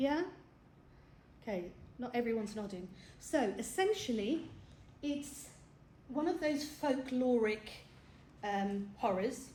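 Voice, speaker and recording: In a British accent, a woman with a high pitch and a dark, mellow tone speaks at a fairly slow pace, using lively intonation and long, frequent pauses amid audible room echo. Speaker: film talk presenter. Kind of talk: lecture. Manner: animated.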